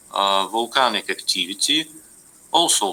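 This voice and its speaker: Moderate pace in a non-native accent. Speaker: university lecturer. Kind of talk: lecture. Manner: halting, many fillers.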